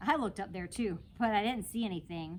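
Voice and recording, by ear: A woman with a medium-pitched, slightly mellow voice speaks at a moderate pace with lively intonation.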